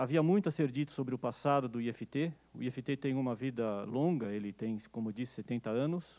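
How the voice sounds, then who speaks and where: In a dark, mellow tone, a man speaks with ordinary pitch variation and hardly any pauses. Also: medium pitch for a man, moderate pace. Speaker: physics professor, event organizer. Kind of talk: ceremonial speech. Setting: stage with audience. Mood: warm, nostalgic. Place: classroom. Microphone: handheld.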